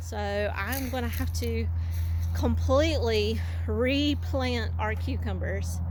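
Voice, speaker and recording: Over audible room echo, a woman speaks very slowly in a very deep, low pitch. Her voice is somewhat breathy. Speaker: homesteader vlogger. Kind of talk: casual vlog walkthrough.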